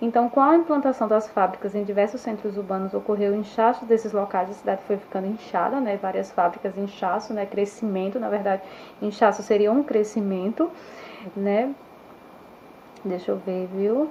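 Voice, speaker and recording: Speech at a moderate tempo comes through with noticeable background noise behind it. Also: woman, medium pitch for a woman, ordinary pitch variation. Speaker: schoolteacher. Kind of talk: online history lesson. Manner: halting, with fillers and self-corrections.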